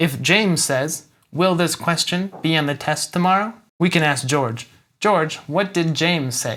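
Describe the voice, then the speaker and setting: In a plain, everyday voice, a man with an American accent speaks at a fairly high pitch. His pace is fairly slow. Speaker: English teacher. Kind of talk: English lesson to camera. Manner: clear, upbeat.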